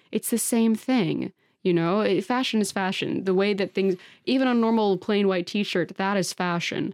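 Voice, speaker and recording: A woman talks in an unremarkable speaking voice at medium pitch with ordinary pitch variation and a moderate pace. The recording is very clean with a silent background and a dry, close sound with no echo. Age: 20s. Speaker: costume maker and model. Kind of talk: casual chat.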